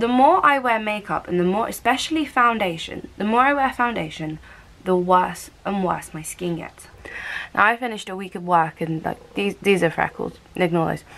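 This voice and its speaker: The woman's loudness swings widely. She speaks at a moderate pace with lively intonation. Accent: British. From United Kingdom. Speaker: lifestyle vlogger. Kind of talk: casual talk to camera. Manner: chatty, upbeat. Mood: relaxed, cheerful. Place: home room. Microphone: phone near.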